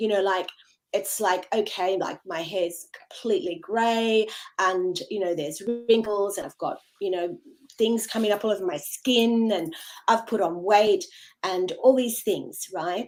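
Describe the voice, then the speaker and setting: A woman with an unremarkable speaking voice talks at medium pitch and a fairly slow pace, with ordinary pitch variation. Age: 60s. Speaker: yoga and meditation teacher. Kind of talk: podcast interview.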